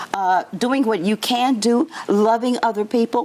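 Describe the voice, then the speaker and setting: A woman with a high pitch talks at a fairly slow pace in an animated tone. Noticeable background noise can be heard. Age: 70s. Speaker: motivational speaker. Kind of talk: interview.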